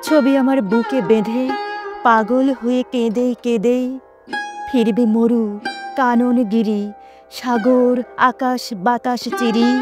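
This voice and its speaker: Over music in the background, a woman with a high pitch speaks with ordinary pitch variation. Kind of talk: poetry reading. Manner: sorrowful, emotional.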